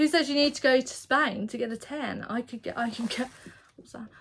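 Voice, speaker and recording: High-pitched woman with an English accent at a moderate pace. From England. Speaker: vlogger and self-employed artist. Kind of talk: casual vlog chat. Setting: indoors in her studio, seated in a chair. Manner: casual, rambling with false starts.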